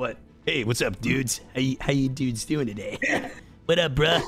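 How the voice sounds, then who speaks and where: A man's put-on character voice, medium in pitch, at a moderate pace. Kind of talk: casual slang. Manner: laid-back, chummy.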